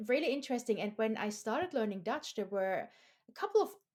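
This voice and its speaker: A woman's fairly high voice in a German accent, at a fairly quick pace with very wide pitch swings. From Austria. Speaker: podcast host. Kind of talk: casual interview chat.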